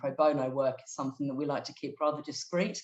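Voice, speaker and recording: A woman with a British accent speaks at a fairly quick pace, her very deep, low pitch held in fairly even intonation. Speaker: non-profit director and human rights lawyer. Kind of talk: webinar presentation. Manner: hesitant, many fillers.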